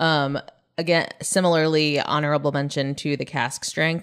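A woman at a moderate pace, very deep and low in pitch with vocal fry, on a very clean recording with a silent background. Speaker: podcast producer and co-host. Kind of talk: casual chat.

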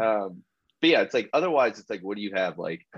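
Against a quiet background, a man speaks loudly in a fairly low pitch. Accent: American. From US Midwest, Columbus, Ohio. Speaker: bike racer. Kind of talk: casual chat.

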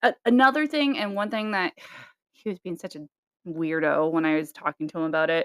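At a fairly quick pace, a woman speaks in a medium pitch with very wide pitch swings, the sound dry and close with no echo. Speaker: podcast co-host. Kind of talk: casual chat. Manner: animated, casual.

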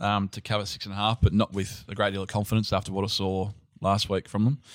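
Over a silent background in a very clean recording, a man with an Australian accent speaks at a fairly low pitch in a monotone, flat intonation. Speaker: betting market analyst. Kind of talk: casual sports betting chat.

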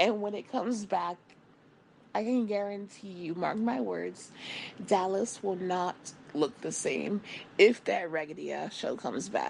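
Vocal fry runs through a woman's animated tone. She leaves long, frequent pauses. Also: medium pitch for a woman, ordinary pitch variation, fairly slow pace. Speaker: podcast host. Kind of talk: casual chat.

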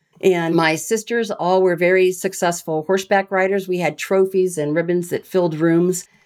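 A woman speaks in a Midwestern American accent at medium pitch. Her intonation is fairly even and her pace moderate. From US Midwest (Iowa). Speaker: retired rear admiral and leadership trainer. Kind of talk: interview storytelling.

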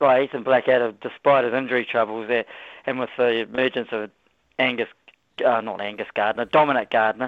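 A man of medium pitch with a New Zealand accent and fairly even intonation. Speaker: radio caller. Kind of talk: casual chat. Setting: phone call.

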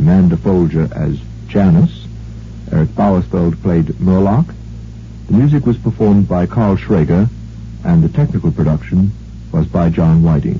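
Against noticeable background noise, a man with a very deep, low voice speaks at a moderate pace with very wide pitch swings. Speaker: radio announcer. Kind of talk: archive radio drama announcement and narration.

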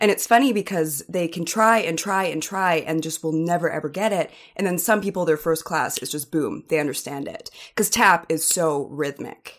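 Delivered at a moderate pace with ordinary pitch variation, a plain, everyday voice speaks with a Canadian accent. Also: woman, fairly low pitch for a woman. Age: 30s. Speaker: sports reporter. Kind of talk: casual chat.

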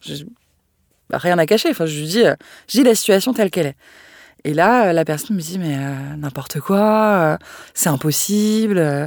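With lively intonation and a fairly low pitch, a woman speaks at a fairly slow pace with long, frequent pauses in a very clean recording against a silent background. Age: 30s. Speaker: communications manager sharing a personal story. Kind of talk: testimony.

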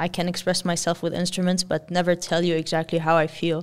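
The recording is very clean with a silent background. A woman speaks with an Arabic accent. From Lebanon. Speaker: electronic musician and producer. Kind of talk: casual interview. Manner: energetic.

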